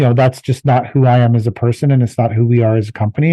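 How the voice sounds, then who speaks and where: A man speaks at a fairly quick pace with a medium pitch and fairly even intonation. His tone is dark and mellow, and the sound is dry and close with no echo. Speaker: landscaping business owner. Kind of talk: casual chat. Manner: loud and sharp.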